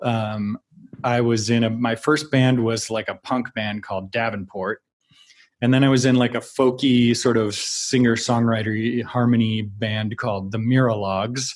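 Using an ordinary speaking voice with an American accent, a man talks at a fairly slow pace with medium pitch and fairly even intonation. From US Midwest (Minnesota, Wyoming). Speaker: film and TV composer. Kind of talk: casual interview chat.

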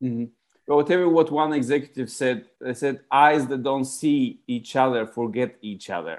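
A man with a medium-pitched voice speaks with a Bulgarian accent. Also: ordinary pitch variation, moderate pace. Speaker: author and customer experience expert. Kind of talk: interview.

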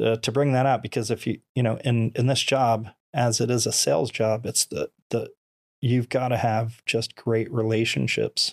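A man with an American accent, an unremarkable speaking voice of medium pitch, at a moderate pace with fairly even intonation and very even loudness, on a very clean recording with a silent background and a dry, close sound with no echo. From Florida. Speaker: former firefighter, mortgage lender, motivational speaker. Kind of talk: casual interview.

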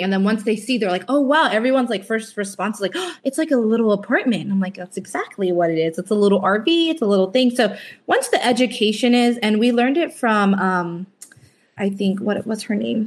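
This woman has an ordinary speaking voice pitched fairly high. She talks at a moderate pace with lively intonation. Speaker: van life couple member, guest. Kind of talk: casual interview chat.

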